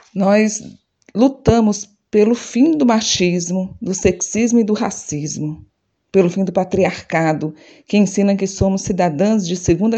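Against a quiet background, a woman speaks at a fairly slow pace. Her medium-pitched voice has a dark, mellow tone. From Ceará, Brazil (Fortaleza). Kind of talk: activist manifesto speech. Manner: emphatic, repetitive cadence.

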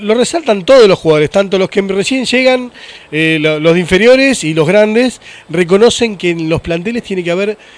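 Over noticeable background noise, a man talks with a high pitch and ordinary pitch variation. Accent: Rioplatense. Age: 40s. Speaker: podcast host. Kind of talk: casual interview chat.

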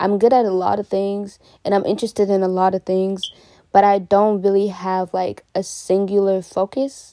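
A woman's medium-pitched, dark, mellow voice in an American accent, monotone and flat, at a moderate pace. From Washington State, US (Kenyan-born). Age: 20s. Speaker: podcast host, college student. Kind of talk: casual monologue. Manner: hesitant, many fillers and laughs.

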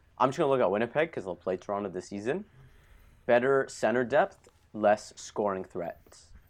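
With an Ontario accent and lively intonation, a man speaks at a medium pitch and moderate pace against a quiet background. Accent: Canadian (Ontario). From Ontario, Canada (Thornhill). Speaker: hockey podcast host. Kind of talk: casual chat. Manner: animated.

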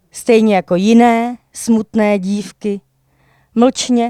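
At a very slow pace, a woman speaks in a dark, mellow tone, the sound dry and close with no echo. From Czech Sudetes, Jáchymov area. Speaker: slam poet. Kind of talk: casual interview; slam poetry performance.

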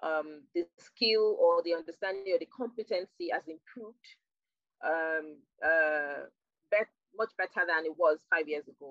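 The speaker has a Nigerian accent, and the loudness swings widely. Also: woman, fairly low pitch for a woman, ordinary pitch variation, fairly slow pace. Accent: Nigerian (Yoruba) English. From southwestern Nigeria. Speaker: digital marketing professional. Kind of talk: interview. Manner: halting.

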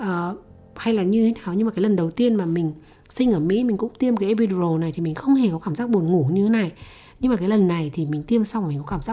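A woman speaks very fast in a medium pitch with lively intonation. Her tone is dark and mellow. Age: 30s. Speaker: podcast host. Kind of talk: personal storytelling monologue.

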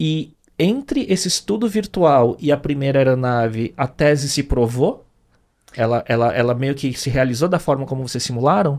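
Using an ordinary speaking voice, a man talks at a moderate pace. His pitch is fairly high, and his intonation is lively. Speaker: podcast host. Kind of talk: interview.

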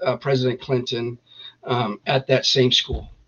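A somewhat breathy man in an American accent. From Northern California, East Contra Costa County. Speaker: army veteran, veterans group founder. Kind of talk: interview.

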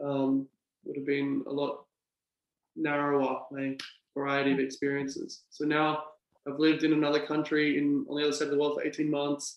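In an Australian accent, a man speaks at a moderate pace in a fairly high, monotone voice with flat intonation. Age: 20s. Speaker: English teacher. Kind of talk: casual chat.

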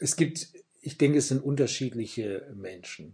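The voice is somewhat breathy, with a dark, mellow tone. Its pitch varies in an ordinary way. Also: man. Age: 60s. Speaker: pastor and author. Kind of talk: interview. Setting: office.

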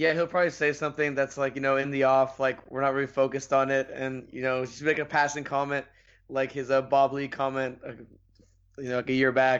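A man speaks at a fairly quick pace in a medium pitch. His intonation is monotone and flat. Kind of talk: casual podcast banter.

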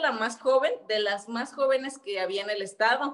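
Moderate pace and ordinary pitch variation in a fairly high female voice. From Mexico, Michoacán (Quiroga). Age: 30s. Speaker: activist and entrepreneur, former local councillor. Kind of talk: interview conversation.

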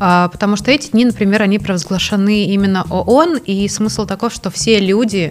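A woman's medium-pitched voice with ordinary pitch variation over music in the background. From Russia. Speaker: NGO director, legal scholar. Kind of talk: casual interview. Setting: studio with film crew.

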